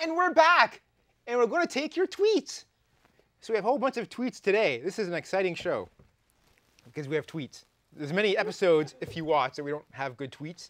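With a Canadian accent, a man speaks at a fairly quick pace and a high pitch in an upbeat, playful tone. His pitch swings very widely, his loudness shifts a lot, and he leaves long, frequent pauses. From Canada. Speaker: live talk show host. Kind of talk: talk show banter. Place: studio. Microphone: lapel.

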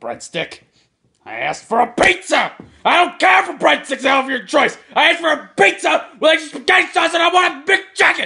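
A man shouts in a cartoonish character voice at an extremely high pitch. His pace is fairly quick. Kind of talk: comic overacting. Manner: shouting, insulting, grumpy.

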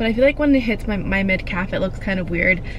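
A woman speaks with ordinary pitch variation. The sound is dry with no echo, over light background noise. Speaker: vlogger. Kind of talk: casual vlog chat. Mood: mildly disappointed, chatty. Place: car. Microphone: camera far.

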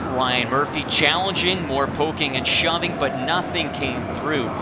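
This man talks at a fairly slow pace in a medium pitch, with an animated tone. Background noise is noticeable. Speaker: sports commentator. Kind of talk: live-style sports commentary recapping game highlights. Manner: animated, building excitement on goals and saves.

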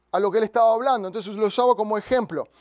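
A man is heard in a dry sound with no echo over a quiet background. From raised in a missionary family. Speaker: pastor. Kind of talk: sermon. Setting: church with congregation. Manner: animated; halting, repeats words. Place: church. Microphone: handheld.

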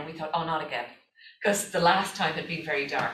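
A woman talks with an Irish accent. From Ireland. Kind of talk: conference presentation. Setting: stage with audience.

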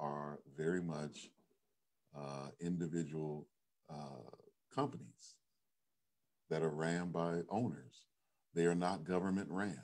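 The background is quiet. A man with a very deep, low voice speaks at a fairly slow pace. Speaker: pastor. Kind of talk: sermon. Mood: earnest, cautionary. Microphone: webcam.

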